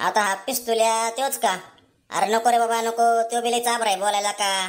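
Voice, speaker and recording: Over a very clean recording with a silent background, a woman does a cartoonish character voice, fairly high and monotone with flat intonation, at a moderate pace. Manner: eager, anxious.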